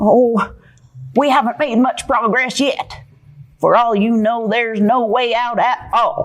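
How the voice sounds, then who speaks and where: It is a female-sounding, cartoonish character voice. The pace is fairly slow. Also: fairly high pitch for a woman. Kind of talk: puppet show performance. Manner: pessimistic, fretful.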